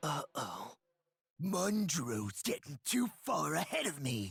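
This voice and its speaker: A man does a put-on character voice at a fairly high pitch. He goes at a fairly slow pace with very wide pitch swings. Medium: video game. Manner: loud, brash.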